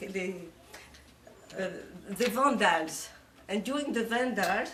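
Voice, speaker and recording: With a strong French accent, a woman speaks at a fairly slow pace, her pitch fairly high and her intonation lively. Noticeable background noise and audible room echo surround her. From Morocco, Casablanca. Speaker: speaker on her life story. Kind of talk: informal talk to a group. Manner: halting, many fillers.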